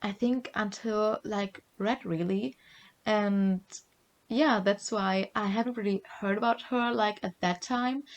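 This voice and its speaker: A woman speaks at a very slow pace in a German accent. Her voice is fairly high, with ordinary pitch variation. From Germany. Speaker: podcast co-host. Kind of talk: casual chat. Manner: hesitant, many fillers.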